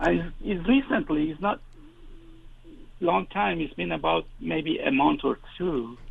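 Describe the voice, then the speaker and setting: A man speaks at a fairly slow pace, with long, frequent pauses. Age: 60s. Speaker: caller. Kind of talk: call-in conversation. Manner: halting.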